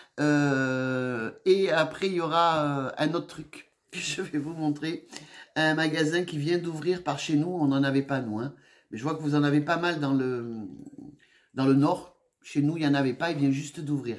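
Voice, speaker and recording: Slowish and fairly even in intonation, a woman speaks with a very deep, low pitch. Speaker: haul vlogger. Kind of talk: casual chat. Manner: hesitant, many fillers.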